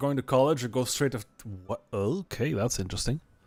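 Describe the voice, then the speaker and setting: With a non-native accent, a man talks at a very fast pace in a very clean recording with a silent background. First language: not English. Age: 30s. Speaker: video game streamer. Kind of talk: casual live gaming stream chat.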